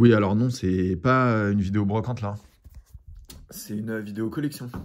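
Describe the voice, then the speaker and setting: This man's fairly low voice keeps a fairly even intonation. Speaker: history teacher and comic artist. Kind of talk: casual collection show-and-tell video. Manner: casual, hesitant with many fillers; fast.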